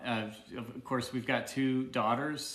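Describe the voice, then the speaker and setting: A man with a Southern US accent at a fairly slow pace, fairly even in intonation, with audible room echo. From Arkansas, US South. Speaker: supportive husband, co-host. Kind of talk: casual livestream Q&A.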